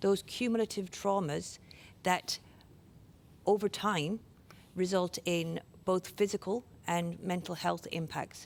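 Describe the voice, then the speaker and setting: A woman with an Irish accent speaks at a fairly slow pace with long, frequent pauses. Her medium pitch and fairly even intonation come through on a very clean recording with a silent background. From Ireland. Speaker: workplace safety inspector. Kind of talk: conference presentation.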